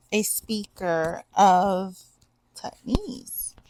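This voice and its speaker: She talks at a very slow pace with ordinary pitch variation. The woman has a Southern US accent. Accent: Southern, tried to change it. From US South, southwest Georgia. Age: 30s. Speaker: book reviewer. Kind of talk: casual vlog talk. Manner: halting, many fillers.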